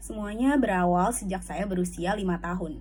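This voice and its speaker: Speaking at a fairly quick pace, a woman uses medium pitch with ordinary pitch variation and vocal fry. Room echo is audible. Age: 20s. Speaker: university student. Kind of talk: scripted self-presentation. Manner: formal.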